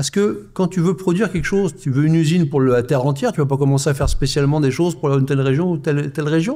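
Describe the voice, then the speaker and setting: A man's voice, dark and mellow, sits at a fairly high pitch. He talks at a very fast pace with hardly any pauses. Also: ordinary pitch variation, very even loudness. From France. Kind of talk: live panel discussion. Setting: stage with live audience.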